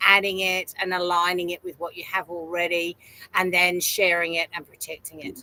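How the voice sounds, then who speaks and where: A woman's fairly low voice at a moderate pace, dry and close with no echo. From UK. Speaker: franchise consultant and author. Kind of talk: interview.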